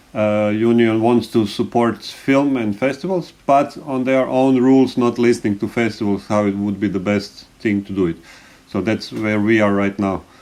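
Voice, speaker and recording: The speaker has a non-native accent. The pace is moderate, with ordinary pitch variation. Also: man, fairly low pitch for a man. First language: not English. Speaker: animation festival director. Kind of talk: panel discussion. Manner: halting.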